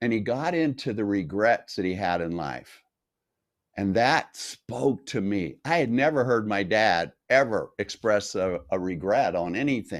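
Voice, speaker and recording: Speaking at a fairly slow pace with an American accent, a man has an unremarkable speaking voice at medium pitch and lively intonation. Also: very clean recording, silent background. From North Las Vegas, Nevada, US. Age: 60s. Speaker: health coach. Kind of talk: interview.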